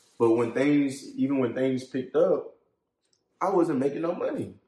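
A man speaks at a medium pitch with an American accent. His tone is dark and mellow. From Columbia, South Carolina. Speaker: trucking company owner. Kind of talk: casual interview.

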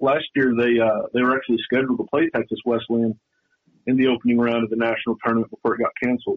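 Monotone and flat in intonation, a man speaks at medium pitch with a slight Southern US accent. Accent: slight Southern drawl. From western North Carolina. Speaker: sports reporter. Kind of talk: radio interview.

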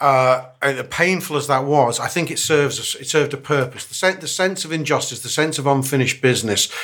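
A man with a Liverpool accent, fairly high-pitched and fairly quick, with ordinary pitch variation. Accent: Scouse. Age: 50s. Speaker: football pundit. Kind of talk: casual panel chat.

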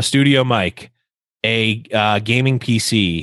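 A man speaks with a Western New York accent. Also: very clean recording, silent background. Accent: Western New York (Inland North) American. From US Northeast, Buffalo, New York. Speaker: esports caster and podcast host. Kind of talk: casual interview chat.

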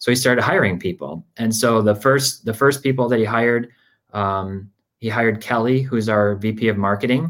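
Speaking with a Michigan accent and ordinary pitch variation, a man comes through in a very clean recording with a silent background. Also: medium pitch for a man, moderate pace. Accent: Midwestern American (Michigan). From Michigan, Grand Rapids. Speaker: sports card data executive. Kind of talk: casual interview.

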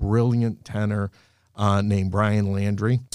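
An ordinary speaking voice moves at a fairly slow pace with fairly even intonation. The recording is very clean, with a silent background. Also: man. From Boston area, Massachusetts. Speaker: singer's manager, former government contractor. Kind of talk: casual interview chat. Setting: studio.

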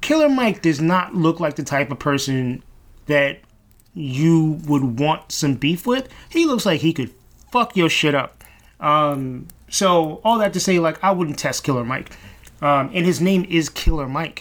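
Lively intonation from a man, fairly high in pitch, at a fairly slow pace. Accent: New York. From Brooklyn, New York City (East Flatbush). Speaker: radio host. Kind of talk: solo monologue.

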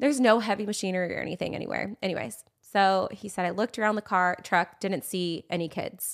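A woman's medium-pitched voice with a Californian accent, on a very clean recording with a silent background. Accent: Californian American. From San Diego, California. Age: 30s. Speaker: social media influencer and mother. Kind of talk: casual chat.

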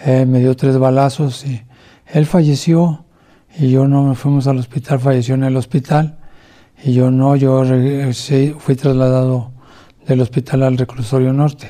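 The speech comes at a fairly slow pace with a Mexico City accent and a dark, mellow tone. Intonation is monotone and flat, and loudness stays very even. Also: man, medium pitch for a man. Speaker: former police officer and ex-convict. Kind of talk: testimony. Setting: at home under house arrest.

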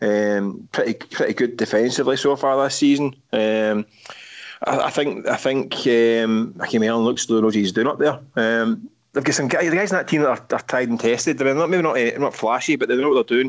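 Speaking with a Glaswegian accent, a man keeps a medium pitch, ordinary pitch variation, a moderate pace and very even loudness. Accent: Glaswegian Scottish. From Scotland, Glasgow. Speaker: football journalist. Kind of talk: casual chat.

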